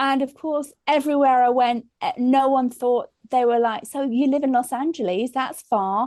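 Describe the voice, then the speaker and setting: This woman has a strong English accent and a high pitch with ordinary variation. She speaks at a moderate pace with hardly any pauses. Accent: English, still strong. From England. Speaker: comedian. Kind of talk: casual chat.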